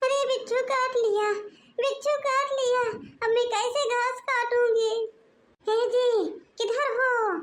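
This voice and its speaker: Shouting in a put-on character voice, a woman holds an extremely high pitch with fairly even intonation at a very slow pace. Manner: shouting, panicked.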